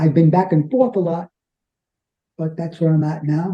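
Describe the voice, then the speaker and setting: The voice has a dark, mellow tone and comes with a New York accent. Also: man. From New York City (Bronx, Brooklyn). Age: 70s. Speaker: interviewee living with multiple sclerosis. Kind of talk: interview. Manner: halting, with fillers and repetitions.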